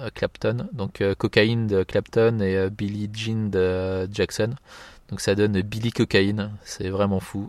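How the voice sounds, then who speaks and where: On a very clean recording with a silent background and a dry, close sound with no echo, a man speaks at a very slow pace with a fairly low pitch and monotone, flat intonation. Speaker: podcast host. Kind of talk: casual solo commentary. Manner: hesitant, many fillers.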